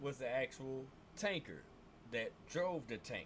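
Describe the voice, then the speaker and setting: Animated in tone, a man with a bright, sharp voice speaks at a moderate pace with ordinary pitch variation. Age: 50s. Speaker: gaming streamer, army veteran. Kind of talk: casual livestream rant.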